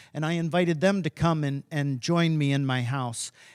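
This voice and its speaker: A man with an American accent talks at a fairly high pitch. The sound is dry and close with no echo, on a very clean recording with a silent background. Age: 60s. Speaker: author and former humanitarian aid worker. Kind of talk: talk to high school students, Q&A. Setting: high school audience. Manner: halting.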